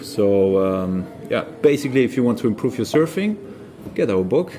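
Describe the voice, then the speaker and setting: Speaking with a German accent and lively intonation, a man keeps a moderate pace over noticeable background noise. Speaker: surf coach. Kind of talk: casual interview. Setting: on location in Portugal.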